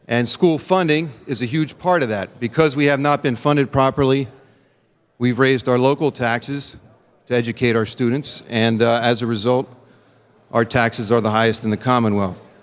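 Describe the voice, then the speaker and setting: This man has a plain, everyday voice at medium pitch, with ordinary pitch variation, a moderate pace and an American accent. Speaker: state legislator. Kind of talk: legislative floor speech. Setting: legislative chamber.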